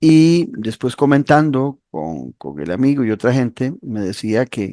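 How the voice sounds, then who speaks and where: Over a quiet background, a man at medium pitch has a dark, mellow tone, with dry, close sound and no echo. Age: 60s. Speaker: political scientist and talk show host. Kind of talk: interview.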